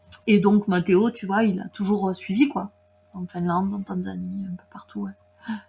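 A fairly slow pace with fairly even intonation, big swings in loudness and noticeable background noise. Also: woman, medium pitch for a woman. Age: 30s. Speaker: mountaineer and trail runner. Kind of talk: casual chat.

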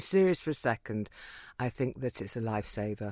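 The speaker has an English accent. The pitch swings very widely. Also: woman. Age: 50s. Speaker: comedian. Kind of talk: casual chat. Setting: studio. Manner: animated.

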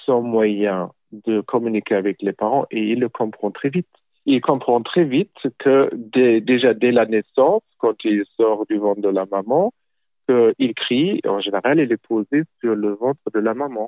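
A man talks at a very slow pace, his pitch medium and its variation ordinary. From Germany. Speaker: childcare expert. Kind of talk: interview. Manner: halting.

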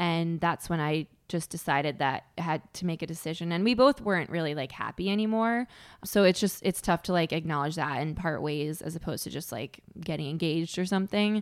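A woman with an American accent uses an ordinary speaking voice, fairly low in pitch with ordinary pitch variation. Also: fairly quick pace, very clean recording, silent background. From Connecticut. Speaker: stand-up comedian. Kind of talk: casual chat.

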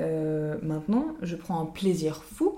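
A woman is speaking over noticeable background noise. Audible echo fills the room. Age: 20s. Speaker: podcast co-host. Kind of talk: casual chat.

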